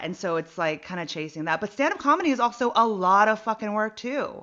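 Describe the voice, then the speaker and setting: A woman with an American accent, lively intonation and a fairly quick pace. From US West Coast, San Jose area. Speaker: comedian and actor. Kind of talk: casual chat. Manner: rambling, halting.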